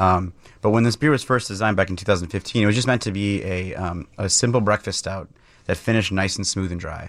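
Recorded very cleanly against a silent background, a fairly low-pitched man with an Upper Midwest accent speaks at a fairly quick pace with ordinary pitch variation. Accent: Upper Midwest American. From Wisconsin, near Milwaukee. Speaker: brewery owner and brewer. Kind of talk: radio interview. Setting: radio studio.

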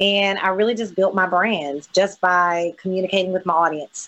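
This woman speaks in a coastal Mississippi accent. Her intonation is fairly even. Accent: Southern US (coastal Mississippi). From US South, Mississippi Gulf Coast. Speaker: entrepreneur and social media influencer. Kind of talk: interview.

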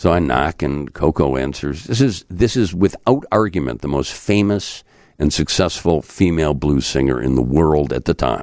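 A man speaks at a fairly slow pace. His voice carries vocal fry. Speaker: journalist and radio host. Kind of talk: casual chat. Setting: studio.

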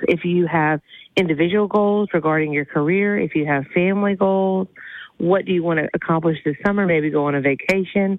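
Fairly low in pitch, a woman speaks in an unremarkable speaking voice at a fairly quick pace with ordinary pitch variation. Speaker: therapist. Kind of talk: advice segment, casual chat.

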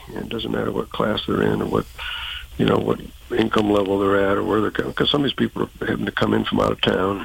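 Noise is noticeable in the background. Over it, a man rattles along very fast. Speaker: event organizer. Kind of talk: radio interview.

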